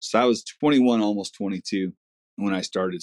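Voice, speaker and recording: A man's fairly low voice at a very fast pace, dry and close with no echo. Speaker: excavation contractor. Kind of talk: casual chat. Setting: podcast interview.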